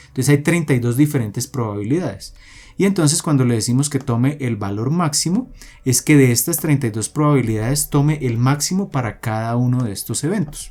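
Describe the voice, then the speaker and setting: Talking at a fairly quick pace, a man with a medium-pitched, dark, mellow voice shows ordinary pitch variation. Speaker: programming tutorial creator. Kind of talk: tutorial. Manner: explanatory, with many fillers.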